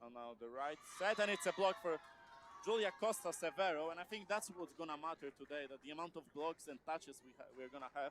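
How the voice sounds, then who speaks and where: With a Polish accent, the voice moves at a fairly quick pace with lively intonation. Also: man, high pitch for a man. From Poland. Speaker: sports commentator. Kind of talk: live commentary. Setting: gym. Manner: halting.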